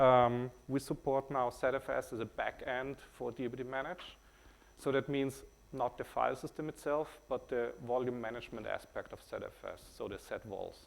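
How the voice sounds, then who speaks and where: A man speaks at a moderate pace with a German accent. His medium-pitched voice has a monotone, flat intonation. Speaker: tech company CEO. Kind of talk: conference talk. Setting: stage with audience. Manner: many fillers (uh, um).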